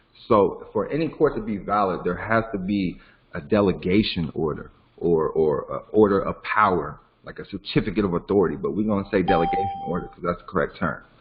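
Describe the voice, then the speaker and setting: Over noticeable background noise, a man talks at a fairly quick pace with big swings in loudness. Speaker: legal education teacher. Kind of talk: online class lecture. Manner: fast.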